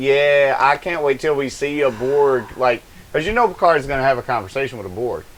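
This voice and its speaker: A man with an American accent, fairly high-pitched, in a plain, everyday voice at a moderate pace. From Hayward, California. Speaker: live streamer, co-host. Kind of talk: casual chat. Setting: live stream.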